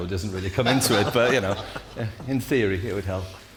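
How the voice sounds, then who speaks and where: Noticeable background noise sits under a man with a Geordie accent who talks at a very fast pace, fairly low in pitch, with ordinary pitch variation. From northeast England, Newcastle. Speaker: incoming managing director. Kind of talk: interview.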